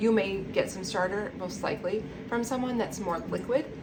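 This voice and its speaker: Audible room echo and noticeable background noise accompany speech with ordinary pitch variation. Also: woman. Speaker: home baker teaching sourdough. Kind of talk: tutorial. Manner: fast; animated.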